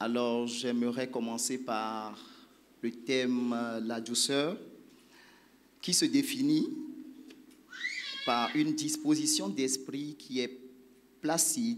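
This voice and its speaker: In a room with audible echo, a man speaks at a very slow pace with long, frequent pauses. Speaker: church group leader teaching. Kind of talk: church teaching talk. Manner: soft-spoken, slow.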